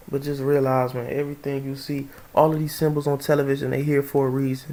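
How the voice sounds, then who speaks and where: Very fast speech runs over noticeable background noise. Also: man, fairly high pitch for a man. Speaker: vlogger. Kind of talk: casual monologue. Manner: animated; stuttering at times.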